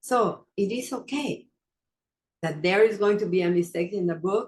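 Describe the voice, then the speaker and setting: A woman speaks with a non-native accent. Her pace is fairly slow, and her pitch varies in an ordinary way. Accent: non-native, noticeable pronunciation. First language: not English. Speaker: wellness coach and podcast host. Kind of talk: motivational talk. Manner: hesitant, with fillers.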